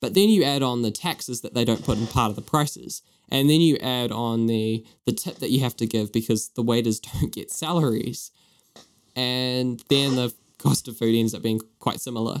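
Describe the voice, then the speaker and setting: A man speaks at a moderate pace with a New Zealand accent. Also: medium pitch for a man, ordinary pitch variation. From New Zealand, East Auckland. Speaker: podcast co-host. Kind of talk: casual chat.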